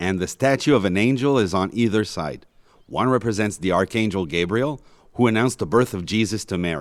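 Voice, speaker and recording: Fairly quick and fairly low, a man's ordinary speaking voice shows ordinary pitch variation on a very clean recording with a silent background. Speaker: audio guide narrator. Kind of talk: scripted narration. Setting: inside a basilica.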